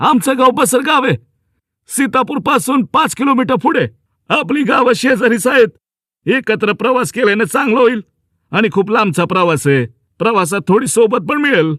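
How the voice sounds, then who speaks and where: In a put-on character voice pitched extremely high, a man speaks at a moderate pace with lively intonation, in a dry, close sound with no echo. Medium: read story. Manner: rustic, homely.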